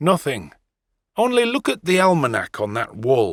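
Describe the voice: A man at a medium pitch puts on a character voice with very wide pitch swings and a fairly slow pace, recorded dry and close with no echo on a very clean track with a silent background.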